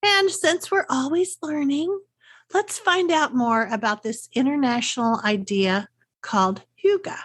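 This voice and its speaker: A woman with a Texas accent talks with very wide pitch swings. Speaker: podcast host, unschooling coach. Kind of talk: solo podcast talk, scripted.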